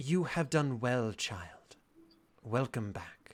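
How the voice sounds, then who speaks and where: Using a booming, put-on character voice at a medium pitch, a man speaks at a very slow pace. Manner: solemn, commanding.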